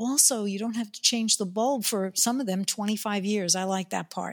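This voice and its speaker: A woman speaks in an unremarkable speaking voice at medium pitch with fairly even intonation. The sound is dry and close, with no echo. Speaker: podcast host. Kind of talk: interview, casual chat.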